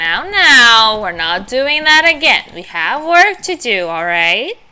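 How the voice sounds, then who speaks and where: A woman in a put-on character voice speaks fairly slowly at a high pitch, her pitch swinging very widely. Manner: scolding, stern.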